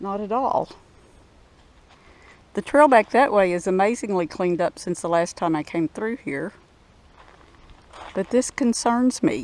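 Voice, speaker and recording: At a fairly slow pace, a woman with a Southern US accent speaks at a medium pitch. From Arkansas. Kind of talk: casual walking narration to camera. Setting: outdoors.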